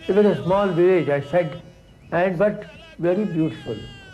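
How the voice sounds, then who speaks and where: Over music in the background, a man speaks in a high voice with audible room echo. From South Canara, India. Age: 60s. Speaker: poet. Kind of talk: interview reminiscence.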